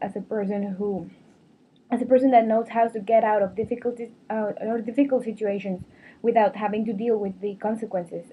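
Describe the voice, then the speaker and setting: Fairly high in pitch yet dark and mellow in tone, a woman speaks somewhat breathily at a fairly quick pace in a monotone, flat intonation. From Mexico. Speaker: student. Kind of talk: prepared video blog monologue. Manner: halting, with frequent repetitions.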